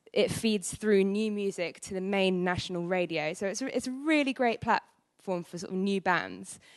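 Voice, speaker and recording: Speaking with an East Anglian accent, a woman keeps a moderate pace at a medium pitch. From England, Norwich (Norfolk). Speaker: radio presenter and musician. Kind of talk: conference presentation. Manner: loud.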